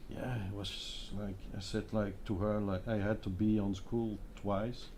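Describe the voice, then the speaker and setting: A man speaks in a fairly low pitch with a dark, mellow tone and a somewhat breathy quality. His intonation is monotone and flat, and there is audible room echo. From Belgium, Hasselt (Flanders). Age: 50s. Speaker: design agency founder. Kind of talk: panel discussion.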